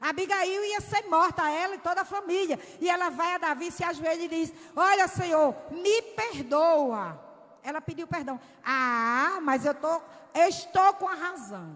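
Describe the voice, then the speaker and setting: The speaker goes at a fairly slow pace with an animated tone and lively intonation. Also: woman, extremely high pitch for a woman. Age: 60s. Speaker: women's conference preacher. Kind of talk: sermon.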